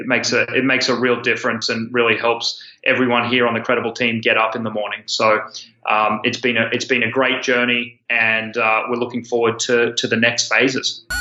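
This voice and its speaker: This man talks at a fairly quick pace with an Australian accent. His intonation is monotone and flat. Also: medium pitch for a man. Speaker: student loan company founder. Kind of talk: interview.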